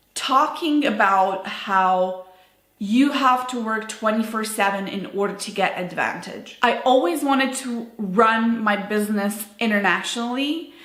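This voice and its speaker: A woman with a non-native accent speaks at a fairly high pitch and a fairly slow pace. Her pitch variation is ordinary, and the room echo is audible. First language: not English. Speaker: business owner vlogger. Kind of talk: personal vlog monologue. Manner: unscripted, casual with fillers.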